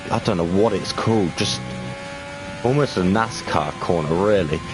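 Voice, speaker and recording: A man with an English accent and ordinary pitch variation, against noticeable background noise. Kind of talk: live commentary.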